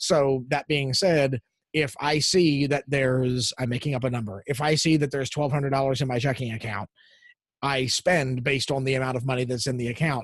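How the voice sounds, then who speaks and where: With a somewhat breathy voice at a medium pitch, a man speaks at a fairly quick pace and fairly even intonation, captured with a dry, close sound with no echo. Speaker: lifestyle coach and small business owner. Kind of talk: casual podcast interview. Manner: relaxed.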